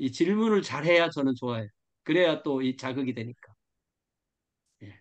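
Against a quiet background, a man speaks at a moderate pace with long, frequent pauses. His pitch is fairly high, and his intonation is lively. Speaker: pastor teaching a study group. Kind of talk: lecture. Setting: video call. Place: home room. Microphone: video call.

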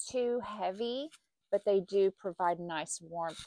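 A woman talks at a fairly slow pace. The background is quiet and the sound is dry with no echo. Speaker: knitting vlogger. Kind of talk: casual vlog chat. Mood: cheerful, relaxed. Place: home room. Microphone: lapel.

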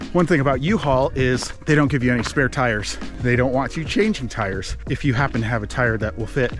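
With clear music in the background, a man talks at a fairly quick pace with hardly any pauses, ordinary pitch variation and a dry sound with no echo. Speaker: vlogger. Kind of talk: casual vlog chat. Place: forest. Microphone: phone near.

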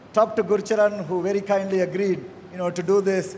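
A man's high-pitched voice, monotone with flat intonation, at a moderate pace over light background noise. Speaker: panel moderator. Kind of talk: panel discussion. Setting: stage with audience. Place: hall. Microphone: handheld.

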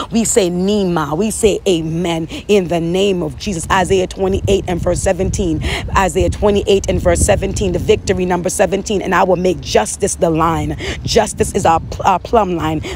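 A woman's voice at a fairly slow pace, dry with no echo, over light background noise. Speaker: prayer leader. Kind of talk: fervent prophetic prayer, intercessory, declaring scripture aloud. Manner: impassioned, earnest, rhythmic repetition. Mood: earnest, fervent. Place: home room. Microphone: phone near.

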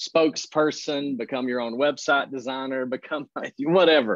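In a dry recording with no echo and a quiet background, a man speaks at a moderate pace with fairly even intonation. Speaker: guest health coach, pastor. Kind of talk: interview answer. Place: office. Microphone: video call.

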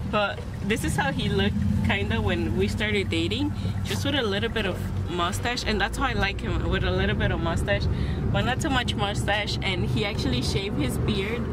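Loud background noise runs behind a woman speaking at a moderate pace, the sound dry with no echo. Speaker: vlogger. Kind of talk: casual vlog chat. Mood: chatty, amused, slightly exasperated. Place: car. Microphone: phone near.

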